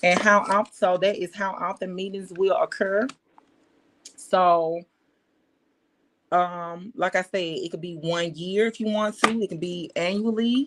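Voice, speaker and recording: Pausing long and often, a woman talks at a fairly slow pace in a medium pitch with fairly even intonation. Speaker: business consultant. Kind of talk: livestream tutorial. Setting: livestream. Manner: halting, many fillers.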